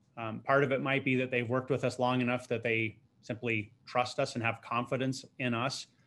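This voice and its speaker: Recorded very cleanly against a silent background, a man with an unremarkable speaking voice talks at a medium pitch. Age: 50s. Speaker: financial advisory firm co-founder. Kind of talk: interview.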